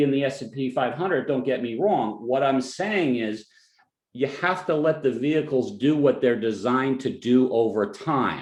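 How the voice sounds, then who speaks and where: A man speaks with a New Jersey accent. He talks at a fairly slow pace with lively intonation. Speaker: financial advisor. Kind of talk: webinar presentation. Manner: halting, many fillers and restarts.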